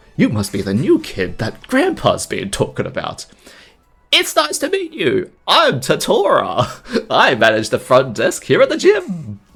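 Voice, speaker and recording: A man puts on a shrill falsetto character voice at a moderate pace. Music plays in the background. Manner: comic.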